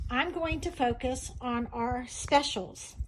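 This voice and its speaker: A woman speaks with a high pitch. Her voice rises and falls in very wide swings. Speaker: direct sales consultant demonstrating crafts. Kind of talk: sales pitch. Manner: animated.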